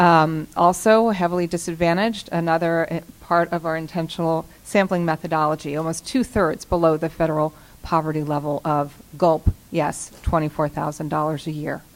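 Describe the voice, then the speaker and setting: In a normal speaking voice, a woman talks at a moderate pace with hardly any pauses, a fairly low pitch and fairly even intonation. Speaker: panel moderator and researcher. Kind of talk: panel presentation.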